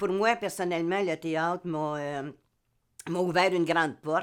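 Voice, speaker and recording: Fairly slow speech in a Quebec accent, on a very clean recording with a silent background. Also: woman. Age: 70s. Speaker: amateur theatre actor. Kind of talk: interview testimony. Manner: halting, many hesitations.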